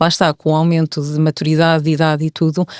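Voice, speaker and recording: A woman's voice comes through dry and close with no echo, on a very clean recording against a silent background. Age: 40s. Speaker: podcast guest. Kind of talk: casual chat.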